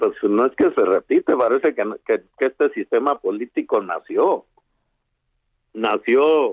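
A man with a Chihuahua accent, very even loudness, and long, frequent pauses. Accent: Chihuahua mountain. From Sierra de Chihuahua, Mexico. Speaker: activist. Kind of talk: phone interview. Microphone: bad connection.

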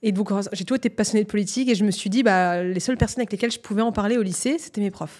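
This woman is heard on a very clean recording with a silent background. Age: 20s. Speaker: media entrepreneur and journalist. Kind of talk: casual interview.

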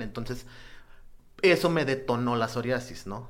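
A man's medium-pitched voice at a fairly quick pace with ordinary pitch variation and audible room echo. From Mexico, Nuevo Laredo. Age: 40s. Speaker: psoriasis patient. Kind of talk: testimony. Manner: halting.

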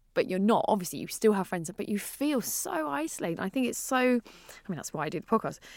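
Very wide pitch swings mark a woman speaking at a very fast pace with a British accent. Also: medium pitch for a woman. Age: 30s. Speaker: podcast host. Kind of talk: casual chat.

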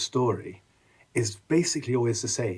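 This man's voice is somewhat breathy. He talks with an English accent. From England. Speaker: author and popular historian. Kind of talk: casual interview. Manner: animated, with frequent restarts.

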